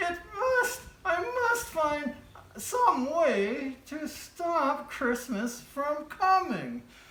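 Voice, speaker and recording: Using a put-on character voice, a woman growls at a high pitch and a very slow pace with very wide pitch swings. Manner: growling, scheming.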